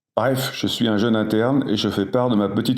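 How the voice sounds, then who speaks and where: Fairly even intonation at a moderate pace. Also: man. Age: 60s. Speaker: emergency doctor. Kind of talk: interview.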